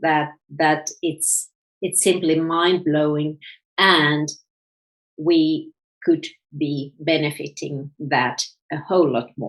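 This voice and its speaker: A woman with a Finnish accent, at a very slow pace. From Finland, Helsinki. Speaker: author and self-development coach. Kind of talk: interview. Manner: halting, repeats words.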